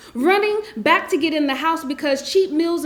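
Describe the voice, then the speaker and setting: Audible room echo and noticeable background noise around a woman speaking at a moderate pace. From South Central Los Angeles. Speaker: spoken word poet. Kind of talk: poetry reading. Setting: stage with audience.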